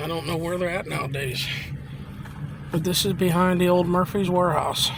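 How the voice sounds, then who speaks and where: Over noticeable background noise and audible room echo, a man with an American accent speaks at a fairly quick pace in a high pitch, his intonation fairly even. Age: 60s. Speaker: local vlogger. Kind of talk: walking vlog narration. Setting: outdoors. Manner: casual, hesitant with fillers.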